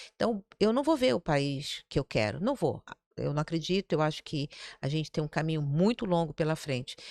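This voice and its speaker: The recording is very clean, with a silent background. A woman talks with lively intonation at a very deep, low pitch. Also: moderate pace. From Brazil, Rio de Janeiro. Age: 60s. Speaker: city councillor, former investment banker. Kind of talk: podcast interview conversation.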